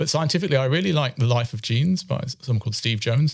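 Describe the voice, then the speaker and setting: Somewhat breathy, a man with a British accent speaks with lively intonation. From UK. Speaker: chemistry professor. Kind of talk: interview. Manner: hesitant, with many fillers.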